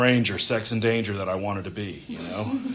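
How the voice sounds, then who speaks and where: Amid noticeable background noise and audible room echo, a man with an American accent speaks at a moderate pace. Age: 30s. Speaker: recovering alcoholic speaker. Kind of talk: testimony. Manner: halting.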